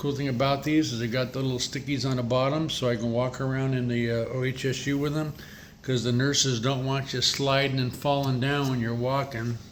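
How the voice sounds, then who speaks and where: A man talks at a moderate pace in a medium pitch, his intonation flat and monotone. Room echo can be heard. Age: 60s. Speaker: leukemia patient vlogger, former delivery driver. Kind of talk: casual vlog. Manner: halting, many fillers.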